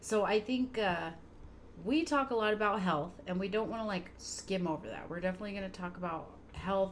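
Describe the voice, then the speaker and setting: At a fairly quick pace, a woman with an ordinary speaking voice talks at a medium pitch with ordinary pitch variation. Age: 30s. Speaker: podcast co-host, mom. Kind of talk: casual chat.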